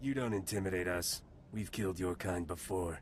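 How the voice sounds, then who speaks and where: A man uses a put-on character voice that is raspy and very deep in pitch. He speaks at a moderate pace over clear background noise. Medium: video game. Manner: clipped military reporting.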